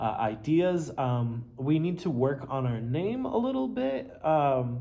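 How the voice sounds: The tone is dark and mellow, the pace slow, with vocal fry and lively intonation. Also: man, fairly high pitch for a man.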